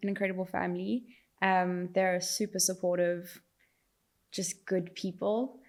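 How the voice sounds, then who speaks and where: A woman is speaking. Her pitch is medium. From South Africa, Johannesburg. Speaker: fashion brand founder. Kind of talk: interview.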